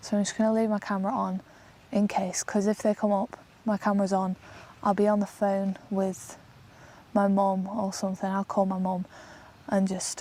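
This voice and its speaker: A woman speaks in a medium pitch with a dark, mellow tone at a moderate pace. Her intonation is monotone and flat, with long, frequent pauses. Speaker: solo camper vlogger. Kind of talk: outdoor vlog narration. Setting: outdoors in a forest. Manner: quiet, hushed.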